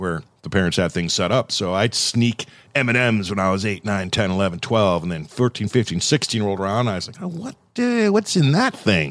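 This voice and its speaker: A man's fairly low voice, a plain, everyday voice, with an American accent, a fairly quick pace and ordinary pitch variation, on a very clean recording with a silent background. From Southern California. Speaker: podcast host and radio presenter. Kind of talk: casual chat. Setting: studio.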